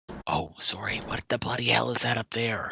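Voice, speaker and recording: Whispering at a moderate pace, a man uses a put-on character voice. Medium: actual play.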